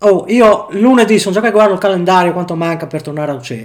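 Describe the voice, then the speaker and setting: A high-pitched man talks at a moderate pace with lively intonation. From Friuli, northeastern Italy (Tarcento). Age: 40s. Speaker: factory worker. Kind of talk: casual interview chat.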